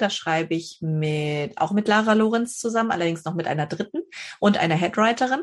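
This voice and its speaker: With a northern German accent, a woman speaks at a moderate pace using lively intonation. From northern Germany, Schleswig-Holstein. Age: 30s. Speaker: novelist. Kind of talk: interview.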